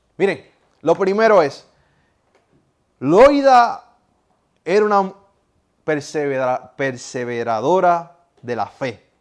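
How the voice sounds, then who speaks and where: The man's pitch is high and swings very widely. He goes at a very slow pace, with long, frequent pauses. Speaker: pastor / preacher. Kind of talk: sermon.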